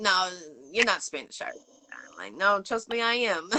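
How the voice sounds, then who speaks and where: In a strong Boston accent, a woman with a bright, sharp tone talks at a moderate pace. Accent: heavy Boston. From Boston, Massachusetts. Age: 40s. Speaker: interview show host. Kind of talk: casual interview chat.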